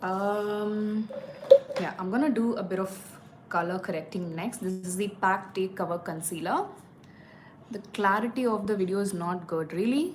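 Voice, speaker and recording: A woman with a Tamil accent speaks at a moderate pace and medium pitch, with ordinary pitch variation and long, frequent pauses. Audible room echo and noticeable background noise surround her voice. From India, Tamil. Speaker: beauty vlogger. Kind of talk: live makeup tutorial. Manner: casual, hesitant fillers.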